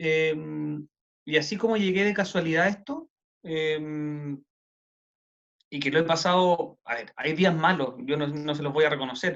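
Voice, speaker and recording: A man speaks with a Chilean accent. His pitch is fairly high and his intonation fairly even. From Chile, Santiago. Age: 30s. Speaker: city councillor and lawyer. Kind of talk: interview. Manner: casual, many fillers.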